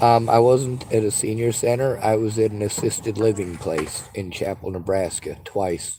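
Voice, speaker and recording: Keeping a moderate speed, a man talks while music plays behind him. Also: ordinary pitch variation. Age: 40s. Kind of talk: phone call with crisis line. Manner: halting.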